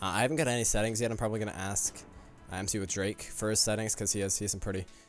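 Talking at a very fast pace, a man with a fairly low pitch keeps a fairly even intonation, his voice dry with no echo and faint music in the background. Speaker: gaming YouTuber. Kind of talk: gameplay commentary. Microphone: studio mic.

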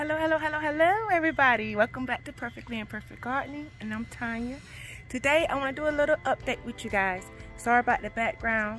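Faint music plays in the background as a woman speaks at a very fast pace. Her voice is high, with a dry sound and no echo. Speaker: gardening vlogger. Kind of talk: casual vlog chat. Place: garden. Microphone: phone near.

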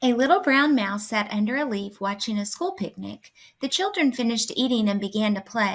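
An unforced reading voice carries the words.

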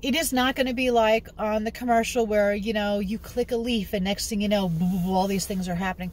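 A woman with an American accent speaks at a moderate pace, her pitch fairly high with ordinary variation. Her voice is somewhat breathy, and the sound is dry with no echo. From New York City. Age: 50s. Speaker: genealogy hobbyist vlogger. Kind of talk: casual vlog tutorial. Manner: animated. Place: car. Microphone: phone near.

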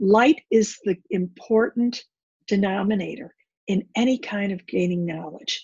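In a quiet background with dry, echo-free sound, a woman speaks in a somewhat breathy voice. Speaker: bible teacher. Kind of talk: teaching talk. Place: home room. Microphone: webcam.

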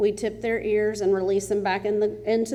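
Speaking with a Texas accent, a woman keeps a medium pitch and a monotone, flat intonation. Room echo is audible. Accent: Texas Southern. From East Texas. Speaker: animal rescue volunteer. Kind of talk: public comment at council meeting. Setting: city council meeting, at microphone. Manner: loud.

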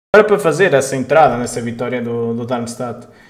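A man is speaking. The background stays quiet. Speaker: football commentator and tipster; football commentator. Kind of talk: live football commentary and betting chat. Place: home room. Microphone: headset.

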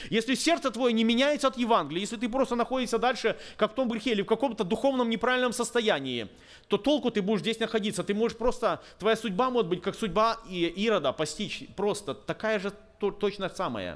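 His voice sits high for a man. He talks fairly quickly. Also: ordinary pitch variation. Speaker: preacher. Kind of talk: sermon. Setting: church. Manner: earnest, exhorting, urgent; conversational, halting, thinks aloud. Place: church. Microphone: podium.

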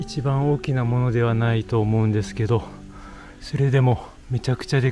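A man speaks over clear music in the background. The sound is dry, with no echo. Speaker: hiker vlogger. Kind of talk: casual vlog chat. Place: forest. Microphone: phone near.

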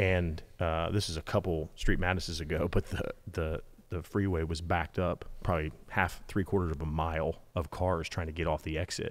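Monotone and flat, a man's very deep, low voice proceeds at a moderate pace. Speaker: podcast host. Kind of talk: casual podcast conversation. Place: garage. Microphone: studio mic.

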